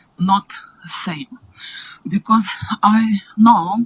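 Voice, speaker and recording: The sound is dry and close with no echo as a woman speaks with a Russian accent. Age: old. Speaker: public submitter. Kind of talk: public submission at council hearing. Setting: council chamber. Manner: quiet. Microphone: far from the mic.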